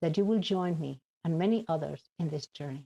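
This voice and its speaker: A woman with a Spanish accent, dark and mellow in tone, somewhat breathy, lively in intonation, at a fairly slow pace, in a dry, close recording with no echo. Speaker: addiction advocate. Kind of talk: conference speech.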